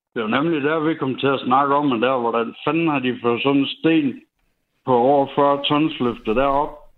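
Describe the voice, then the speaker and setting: A man with an ordinary speaking voice talks fairly slowly at a fairly high pitch. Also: fairly even intonation. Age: 30s. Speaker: radio caller. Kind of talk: storytelling.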